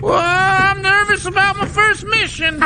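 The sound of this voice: A cartoonish character voice talks at a moderate pace over loud background noise. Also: man, extremely high pitch for a man.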